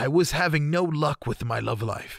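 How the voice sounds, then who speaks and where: A man performs a put-on character voice at a moderate pace, recorded very cleanly against a silent background. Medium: solo performance. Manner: eager, worshipful.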